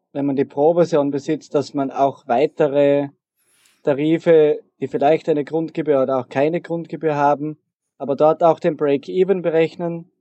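Here is a man with an ordinary speaking voice. His pitch sits fairly high and his intonation stays fairly even. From Austria, southeastern Styria. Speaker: programmer. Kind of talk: interview.

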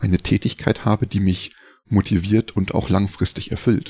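On a very clean recording with a silent background and a dry, close sound with no echo, a man speaks at a moderate pace in a fairly low pitch, with a dark, mellow tone and fairly even intonation. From Lower Saxony, Germany (Hildesheim, near Hanover). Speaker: life coach and mountain bike guide. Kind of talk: interview.

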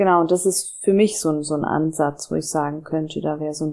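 Her tone is dark and mellow, with a very deep, low pitch for a woman. She speaks at a moderate pace in a monotone, flat way. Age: 30s. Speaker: coach and graphic designer, podcast guest. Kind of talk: therapeutic conversation.

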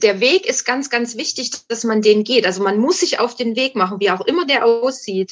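A woman's voice at a fairly high pitch. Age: 50s. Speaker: guest sharing recovery from alcohol addiction. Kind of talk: casual interview chat. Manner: halting, many fillers and restarts.

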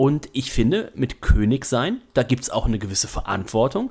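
A man at medium pitch with very wide pitch swings. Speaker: wrestling podcaster. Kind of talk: casual chat. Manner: speaking quietly.

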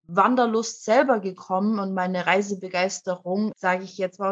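The speech moves at a moderate pace with a flat, monotone intonation. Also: woman. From Germany. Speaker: anti-racism activist, young mother. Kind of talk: interview conversation.

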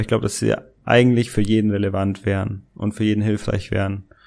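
A man's fairly low-pitched voice. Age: 20s. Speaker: business coach. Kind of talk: casual interview.

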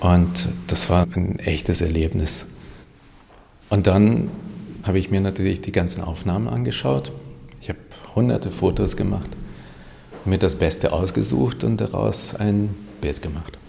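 A man speaks at a fairly slow pace with a very deep, low pitch and lively intonation. His speech has long, frequent pauses. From Hungary, raised in Germany. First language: Hungarian (speaking German). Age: 30s. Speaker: painter and photographer. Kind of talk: interview.

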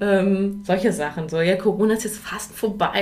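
A woman with a medium pitch and fairly even intonation speaks at a moderate pace over noticeable background noise. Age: 40s. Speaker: mother, course participant. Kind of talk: casual chat. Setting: studio.

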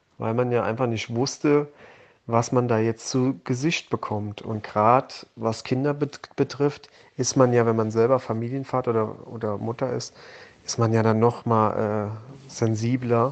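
His intonation remains fairly even throughout. The man's voice sits at a medium pitch. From Germany, Hunsrück. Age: 30s. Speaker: volunteer aid organizer, former soldier. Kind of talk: interview. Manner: hesitant, repeats words.

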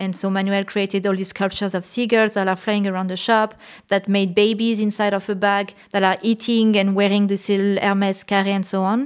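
A woman with a French accent in a flat monotone, hardly pausing, on a very clean recording with a silent background. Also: medium pitch for a woman, fairly quick pace. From France, La Creuse countryside. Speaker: painter. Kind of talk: interview.

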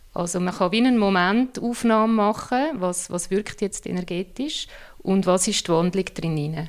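In a very clean recording with a silent background, a woman talks at a moderate pace and medium pitch in an ordinary speaking voice with ordinary pitch variation. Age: 40s. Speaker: I Ching consultant. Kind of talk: interview.

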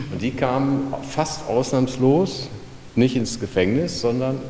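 Amid noticeable background noise and audible room echo, a man speaks at a very slow pace with ordinary pitch variation. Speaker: retired clinic press officer. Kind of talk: guided tour.

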